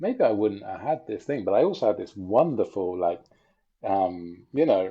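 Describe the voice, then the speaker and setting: The background is quiet. A man with an English accent speaks at a moderate pace. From England. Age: 40s. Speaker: bicycle traveler and relational coach. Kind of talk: casual interview chat. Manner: hesitant, many fillers.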